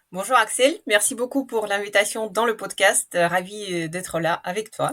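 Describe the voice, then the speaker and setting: With a slight Russian accent, a woman talks at a moderate pace in a medium pitch with ordinary pitch variation. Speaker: marketing executive. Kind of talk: podcast interview. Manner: hesitant with fillers.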